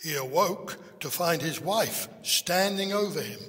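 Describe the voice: With fairly even intonation, the clip is plain reading aloud.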